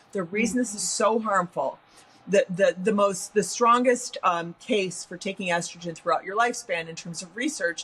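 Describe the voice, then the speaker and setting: Over noticeable background noise, a woman with an American accent speaks at a medium pitch and moderate pace with ordinary pitch variation. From US Midwest. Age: 60s. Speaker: science writer. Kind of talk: interview. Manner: animated.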